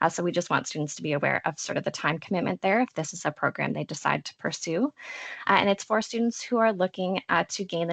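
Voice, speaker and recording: A woman's fairly low voice at a very fast pace, with a dry, close sound and no echo. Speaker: college support services officer. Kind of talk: online information session presentation.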